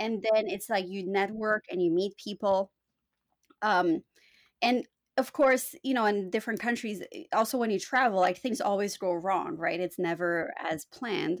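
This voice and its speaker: A woman with a normal speaking voice talks at a moderate pace with lively intonation. The recording is very clean with a silent background, and the sound is dry and close with no echo. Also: medium pitch for a woman. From Canada. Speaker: postdoctoral researcher in environmental policy. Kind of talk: casual interview conversation.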